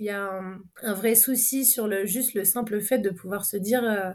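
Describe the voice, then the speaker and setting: Over a silent background on a very clean recording, a woman speaks at a medium pitch. Her intonation is monotone and flat. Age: 30s. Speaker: sailing boat captain. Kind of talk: interview. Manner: halting.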